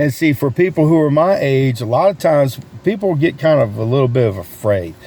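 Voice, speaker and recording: With an American accent, a man talks at a fairly quick pace and very even loudness against noticeable background noise. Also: fairly high pitch for a man, lively intonation. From North Carolina, US South. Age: 60s. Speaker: sales coach and video creator. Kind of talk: casual talk to camera. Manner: animated.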